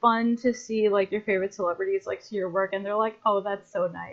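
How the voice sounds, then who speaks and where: Her pitch is medium. The woman talks with an American accent. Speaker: artist and podcast co-host. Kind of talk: casual chat. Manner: animated.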